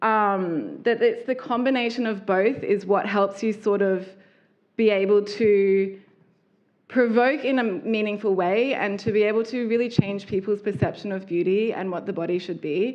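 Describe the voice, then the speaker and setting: A woman's medium-pitched voice in an Australian accent, with fairly even intonation. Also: moderate pace. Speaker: fashion designer. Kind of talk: public talk.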